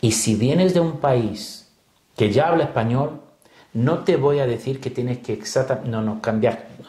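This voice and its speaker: A man speaks at a fairly slow pace. His medium-pitched voice shows ordinary pitch variation. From Brazil, São Paulo. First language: Portuguese (speaking Spanish). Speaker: pastor and missionary. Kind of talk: interview. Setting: studio.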